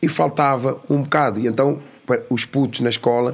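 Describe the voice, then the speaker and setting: Amid noticeable background noise, a man with a medium pitch speaks at a moderate pace and fairly even intonation. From Lisbon area, Portugal (Amadora), born in São Tomé. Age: adult. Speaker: youth educator, founder of a youth academy. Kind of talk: casual interview.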